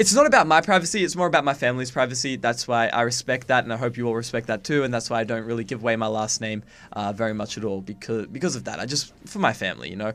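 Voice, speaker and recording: Recorded very cleanly against a silent background, a man at medium pitch talks at a very fast pace with hardly any pauses and ordinary pitch variation. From Australia. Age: 20s. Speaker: gaming YouTuber. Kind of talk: casual Q&A vlog. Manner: casual, halting with fillers.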